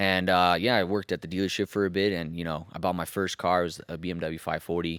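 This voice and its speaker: A man talks very fast with hardly any pauses, his very deep, low pitch held in a flat monotone. The recording is very clean, with a silent background. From Mexico (Jalisco), raised partly in Colorado. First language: Spanish. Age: 20s. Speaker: BMW performance shop owner. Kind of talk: casual podcast interview. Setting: studio in a car shop. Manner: casual, filler-heavy.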